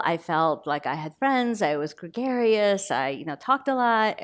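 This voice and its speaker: Against a quiet background, a woman at medium pitch speaks with very wide pitch swings. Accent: Korean. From Korea, then Baltimore from age eleven. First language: Korean. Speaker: novelist. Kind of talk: author talk, onstage interview. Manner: conversational, with fillers.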